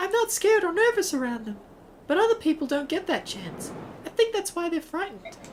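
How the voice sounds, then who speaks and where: A put-on, squeaky character voice, female-sounding and extremely high in pitch, at a fairly quick pace over clear background noise. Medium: actual play.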